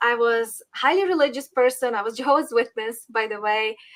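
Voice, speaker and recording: A woman's bright, sharp voice with a Ukrainian accent and ordinary pitch variation. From Western Ukraine. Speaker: political commentator. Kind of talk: interview.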